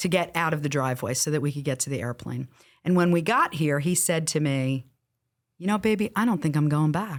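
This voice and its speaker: A woman's very deep, low voice with a New Jersey accent, ordinary pitch variation and a moderate pace, in a very clean recording over a silent background. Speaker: real estate coach. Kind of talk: interview. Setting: studio.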